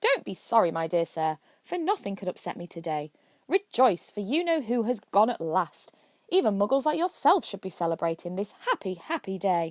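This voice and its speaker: In a put-on character voice, a squeaky, female-sounding voice at middle pitch talks at a moderate pace. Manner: gleeful, delighted.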